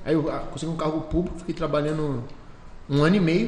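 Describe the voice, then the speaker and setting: A man talks in a fairly high voice, keeping a moderate pace. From Rio de Janeiro state, Brazil; moved to Valinhos (São Paulo) at 15. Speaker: entrepreneur, business founder. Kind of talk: casual interview. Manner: animated.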